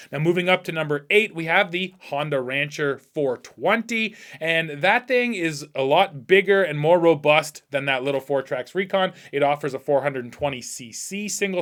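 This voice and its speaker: A man with a Canadian accent talks at a moderate pace with hardly any pauses, in an ordinary speaking voice. His pitch is fairly high, with ordinary variation, and the recording is very clean with a silent background. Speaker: powersports video reviewer. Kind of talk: product review countdown. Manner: casual, conversational.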